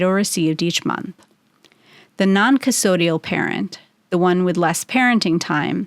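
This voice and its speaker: On a very clean recording with a silent background and a dry, close sound with no echo, a woman with a normal speaking voice talks at a moderate pace and medium pitch. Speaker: matrimonial attorney and podcast host. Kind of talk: informative legal podcast narration.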